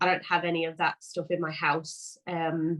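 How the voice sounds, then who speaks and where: A woman talks in a Liverpool accent, her pitch fairly low. Her intonation is monotone and flat. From England, Liverpool. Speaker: vegan cookie business owner. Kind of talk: casual interview chat. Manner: hesitant, many fillers.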